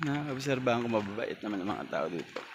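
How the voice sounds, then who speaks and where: Noticeable background noise sits under this recording. A man talks with ordinary pitch variation. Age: 40s. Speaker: travel vlogger. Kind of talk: casual vlog monologue. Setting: outdoors by irrigation canal and fields.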